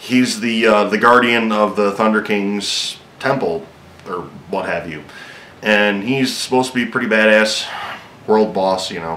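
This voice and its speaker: Long, frequent pauses break up a man's fairly low, fairly even-toned speech, with audible room echo and noticeable background noise. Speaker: gaming video host. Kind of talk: casual game news rundown. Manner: fast; hesitant, many fillers.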